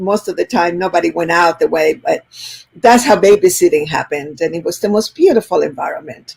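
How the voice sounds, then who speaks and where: A woman speaks at a medium pitch. She has a Spanish accent. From Chile. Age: 70s. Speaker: business school owner and entrepreneur. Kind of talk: interview conversation.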